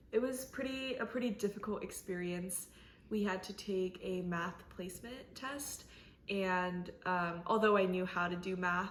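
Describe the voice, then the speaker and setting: Speaking in an American accent at a fairly slow pace, a woman uses a medium pitch with ordinary pitch variation, and audible room echo surrounds her. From South Korea, then US from age six. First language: Korean. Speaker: college student interviewee. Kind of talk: interview.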